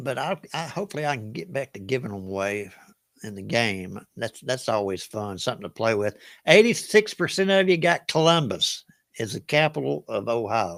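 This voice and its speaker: In a Southern US accent, a man talks at a medium pitch and a moderate pace, his pitch swinging very widely and his loudness rising and falling sharply. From US South. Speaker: trivia game show host. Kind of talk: live online trivia game hosting. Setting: livestream. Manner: casual, chatty.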